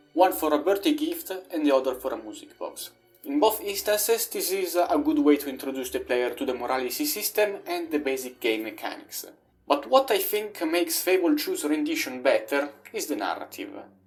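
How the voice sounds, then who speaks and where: At a fairly quick pace, the speech runs over music in the background. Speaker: video game reviewer. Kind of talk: video essay narration.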